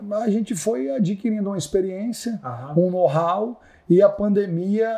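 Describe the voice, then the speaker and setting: Against a quiet background, a man with a high pitch and a dark, mellow tone speaks at a moderate pace with ordinary pitch variation. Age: 40s. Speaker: luxury car salesman. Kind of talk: casual interview. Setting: podcast studio at architecture event. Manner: animated.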